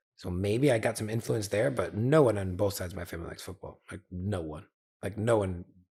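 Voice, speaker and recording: A man's fairly low, somewhat breathy voice with an American accent at a very fast pace, with ordinary pitch variation and big swings in loudness, on a very clean recording with a silent background. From US Northeast (Connecticut), early childhood in Paris. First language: French. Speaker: football agent and teacher. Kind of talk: casual chat. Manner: halting, with many fillers and restarts.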